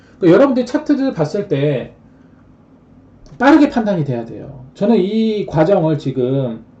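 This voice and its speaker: A man talks at a fairly high pitch with very wide pitch swings. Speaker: stock trading streamer. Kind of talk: live stream stock chart lecture. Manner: fast.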